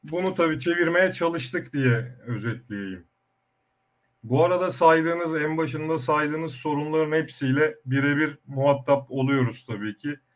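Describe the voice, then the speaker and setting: A fairly slow man's voice, fairly high in pitch. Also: ordinary pitch variation. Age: young. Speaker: olive oil producer, former food engineer. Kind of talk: online panel discussion.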